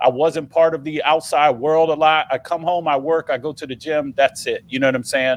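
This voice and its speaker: Recorded with a dry, close sound and no echo, a man talks fairly quickly in a fairly high voice. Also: hardly any pauses. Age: 40s. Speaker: podcast host. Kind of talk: casual chat. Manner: animated.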